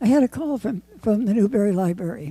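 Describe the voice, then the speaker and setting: A woman speaks at a moderate pace in a fairly high pitch, with a dark, mellow, somewhat breathy tone and ordinary pitch variation. The very clean recording has a dry, close sound with no echo and a silent background. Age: 80s+. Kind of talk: award acceptance speech.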